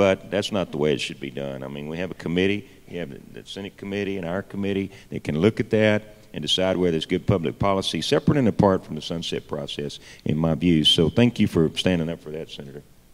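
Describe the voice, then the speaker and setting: With a Texan accent, a man speaks at a very fast pace with hardly any pauses, in a very deep, low pitch with ordinary pitch variation and big swings in loudness. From Texas. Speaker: state legislator; panelist. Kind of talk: panel discussion. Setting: stage with audience at a conference. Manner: halting, many fillers. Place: hall. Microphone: handheld.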